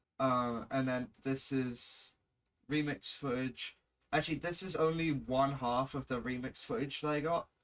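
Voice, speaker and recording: Someone with a British accent talks at a fairly slow pace. Their intonation stays fairly even while music plays in the background. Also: man, medium pitch for a man. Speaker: video editor / gaming content creator. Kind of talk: casual screen-recorded tutorial commentary. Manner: casual, swearing.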